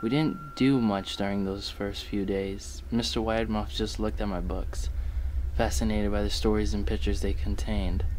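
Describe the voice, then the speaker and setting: A man with a very deep, low voice talks at a moderate pace, his pitch swinging very widely. Noticeable background noise sits behind him. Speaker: creepypasta narrator. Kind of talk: ghost story narration, read aloud as a first-person horror tale.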